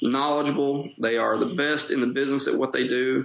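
Fairly even intonation marks this man's speech in an Appalachian accent. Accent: Appalachian Kentucky. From Eastern Kentucky, Appalachia. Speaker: golf club general manager. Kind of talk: casual interview.

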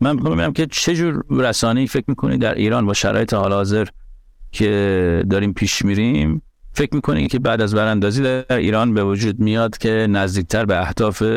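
A man with a fairly low pitch and lively intonation at a very fast pace, in a very clean recording with a silent background. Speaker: podcast host and journalist. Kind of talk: scripted narration; casual discussion.

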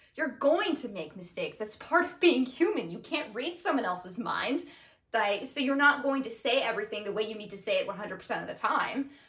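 Someone speaks at a moderate pace with very wide pitch swings over noticeable background noise. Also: woman, high pitch for a woman. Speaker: podcast co-host, daughter. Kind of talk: casual conversational podcast discussion. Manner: passionate, emotional.

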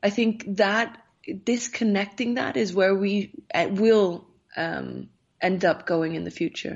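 At a fairly slow pace, this speaker talks in an Icelandic accent with ordinary pitch variation. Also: woman, medium pitch for a woman. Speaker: safety advisor and politician. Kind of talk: interview.

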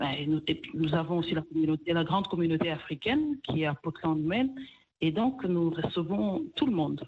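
A woman with an unremarkable speaking voice, fairly low in pitch, with lively intonation at a moderate pace. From DR Congo, Kivu. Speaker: restaurant owner. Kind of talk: interview.

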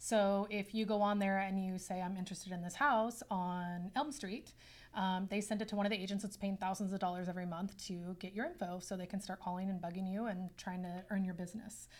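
With a plain, everyday voice, a woman of medium pitch talks at a fairly quick pace with hardly any pauses and fairly even intonation. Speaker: real estate agent. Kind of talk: casual interview chat.

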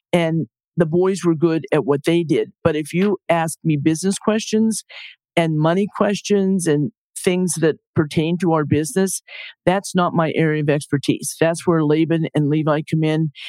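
The woman talks at a moderate pace with fairly even intonation, recorded very cleanly against a silent background, with a dry, close sound and no echo. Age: 60s. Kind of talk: interview conversation.

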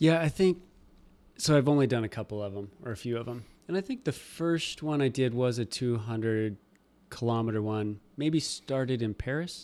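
A man's plain, everyday voice at medium pitch, with ordinary pitch variation and a moderate pace, in a very clean recording with a silent background. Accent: American. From Nebraska. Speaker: podcast host. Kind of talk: interview.

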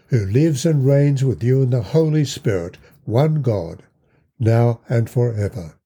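This somewhat breathy voice moves at a very slow pace in a solemn, dark, mellow tone, with lively intonation. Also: man. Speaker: podcast host and Bible teacher. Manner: earnest, measured and sincere; at the prayer, solemn, heartfelt and slow.

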